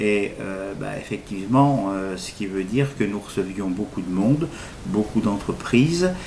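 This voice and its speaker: Loudness swings a lot over noticeable background noise, while the pitch varies in an ordinary way. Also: man, fairly low pitch for a man, fairly slow pace. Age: 60s. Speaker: recovering alcoholic, retired cinema technician. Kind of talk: interview testimony. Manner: halting, many fillers.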